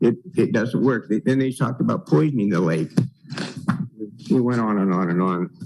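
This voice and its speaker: A man speaks at a moderate pace and medium pitch with lively intonation, leaving long, frequent pauses. Noticeable background noise runs throughout. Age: 80s+. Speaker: property owner spokesman. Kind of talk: public comment. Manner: halting.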